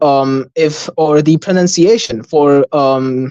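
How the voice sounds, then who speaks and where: The speech comes at a very slow pace. It carries a non-native accent. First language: not Arabic. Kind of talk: slide presentation on livestream. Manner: halting, many fillers.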